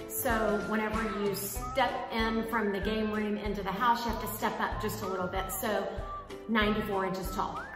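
Over clear background music, a woman speaks at a moderate pace in a monotone, flat intonation, with audible room echo. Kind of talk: casual vlog chat. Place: home room. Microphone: phone near.

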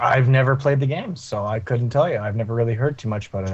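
The voice belongs to a man and is somewhat breathy. Its pitch rises and falls in an ordinary way. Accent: Canadian. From Canada. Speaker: gaming podcast panelist. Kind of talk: casual chat.

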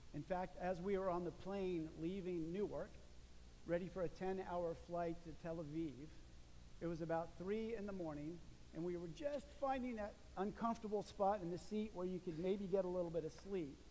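A man with a high pitch and a dark, mellow tone speaks with ordinary pitch variation over light background noise. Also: moderate pace. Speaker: pastor. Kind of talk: sermon. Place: church. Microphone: podium.

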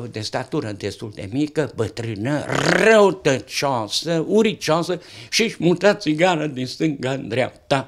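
A man at a very slow pace with very wide pitch swings, over a quiet background. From Romania, Satu Mare county (Tășnad area); Romania. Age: 80s+. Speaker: retired interviewee sharing life stories; interviewee. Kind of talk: casual chat. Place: home room. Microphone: handheld.

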